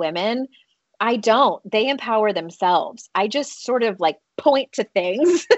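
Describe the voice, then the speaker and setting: At a fairly slow pace, a woman with an American accent talks in a normal speaking voice. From United States. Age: 40s. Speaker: author and life coach. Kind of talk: interview.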